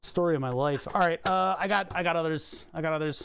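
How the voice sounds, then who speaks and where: Someone with a Philadelphia accent speaks at a moderate pace on a very clean recording with a silent background. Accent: mild Philadelphia. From US Northeast, Philadelphia. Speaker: electronics repair streamer. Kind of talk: live stream teardown commentary. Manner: casual, thinking aloud.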